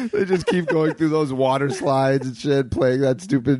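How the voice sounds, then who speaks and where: Moderately paced speech with a Canadian accent and fairly even intonation, over noticeable background noise. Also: man. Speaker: improviser. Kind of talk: casual chat. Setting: on a couch at the host's home.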